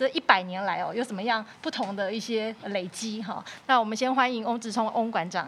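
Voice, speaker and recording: A woman's ordinary speaking voice, fairly high-pitched, at a fairly quick pace with hardly any pauses and ordinary pitch variation. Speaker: podcast host, music teacher. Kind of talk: interview. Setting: studio.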